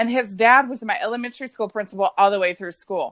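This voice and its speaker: A woman with a Texan accent speaks at a fairly quick pace in an animated tone. The sound is dry and close with no echo over a quiet background. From West Texas. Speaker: podcast guest. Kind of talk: casual chat.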